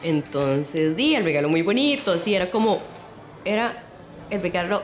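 Her fairly low voice moves at a moderate pace as this woman talks over noticeable background noise. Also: very even loudness. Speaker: listener sharing a story. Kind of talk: personal anecdote.

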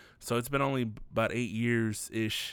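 A man with an American accent speaks at a moderate pace in monotone, flat intonation. The recording is very clean with a silent background. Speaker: solo podcast host and beat producer. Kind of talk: casual solo commentary podcast. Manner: rambling, jumps between topics; drops the g on -ing words.

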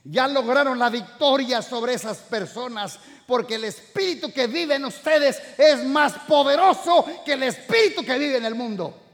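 A man speaks at an extremely high pitch in an animated tone, with hardly any pauses. Noticeable background noise is present. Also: lively intonation, moderate pace. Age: 60s. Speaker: pastor. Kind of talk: sermon.

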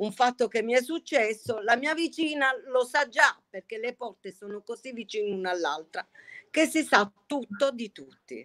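At a moderate pace, a woman talks in a high pitch with ordinary pitch variation, the sound dry and close with no echo. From Bari, Puglia (old town). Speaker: pasta maker. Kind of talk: casual chat.

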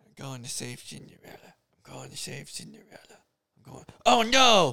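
A raspy, put-on character voice at a moderate pace. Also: man. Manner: frantic, eager.

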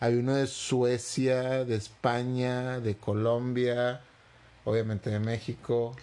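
A man talks at a very slow pace in monotone, flat intonation. His loudness stays very even throughout. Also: medium pitch for a man. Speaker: podcast co-host. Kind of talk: casual chat.

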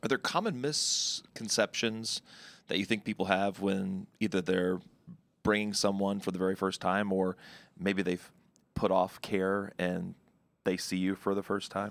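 A man with a plain, everyday voice speaks at a fairly low pitch and fairly slow pace, his intonation fairly even, on a very clean recording with a silent background. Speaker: podcast host, former TV anchor. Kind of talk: scripted outro; interview.

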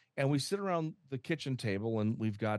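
A man with an American accent, a normal speaking voice, ordinary pitch variation and a moderate pace over a quiet background. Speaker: home health expert. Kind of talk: interview conversation.

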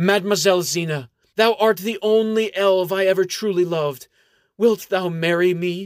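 Loud and high-pitched, a man performs a put-on character voice. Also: moderate pace. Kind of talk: archaic, formal. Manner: loud, manly, proclaiming.

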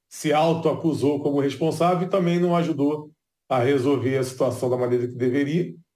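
A somewhat breathy man's voice, fairly high in pitch, with a dark, mellow tone, ordinary pitch variation and audible room echo. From Brazil, Rio de Janeiro. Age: 40s. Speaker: neuroscientist. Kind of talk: interview.

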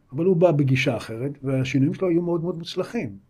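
A man's very fast delivery in a dark, mellow tone. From Israel, Hefer Valley moshav. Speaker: insurance agency founder and investor. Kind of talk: interview conversation.

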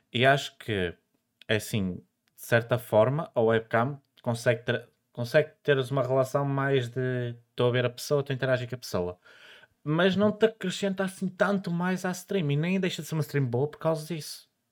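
A man with a normal speaking voice talks at a fairly high pitch and a moderate pace. His intonation is lively, and the recording is very clean with a silent background. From northern Portugal. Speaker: podcast host. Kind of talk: casual chat.

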